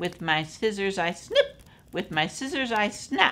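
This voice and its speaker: A female-sounding put-on character voice sits at a medium pitch. It moves at a fairly slow pace. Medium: read story.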